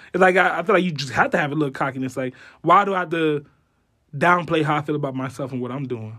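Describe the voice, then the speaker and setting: Speaking at a very fast pace, a man with an American accent has a bright, sharp tone and ordinary pitch variation, on a very clean recording with a silent background. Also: fairly high pitch for a man. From South Florida (Homestead). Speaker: college football coach and student advisor. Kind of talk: casual interview.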